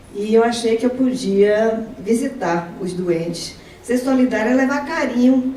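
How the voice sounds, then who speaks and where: A woman's fairly high-pitched voice amid noticeable background noise and audible room echo. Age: 70s. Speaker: retired professor and volunteer speaker. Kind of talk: testimony talk at an event. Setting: event with audience. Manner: halting, with repetitions.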